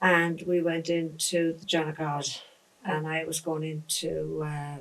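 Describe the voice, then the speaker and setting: In an Irish accent, a woman speaks with a very deep, low pitch at a fairly slow pace and a monotone, flat intonation. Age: 60s. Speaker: interviewee sharing life memories. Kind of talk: casual interview chat.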